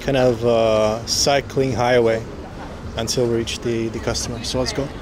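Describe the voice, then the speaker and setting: The recording of a man has a dry sound with no echo, with noticeable background noise behind him. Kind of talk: casual vlog chat. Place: street. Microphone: phone near.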